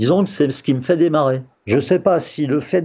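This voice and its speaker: Speaking at a fairly quick pace, a man uses lively intonation and a dark, mellow tone. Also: quiet background. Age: 60s. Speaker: retiree. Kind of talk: interview testimony.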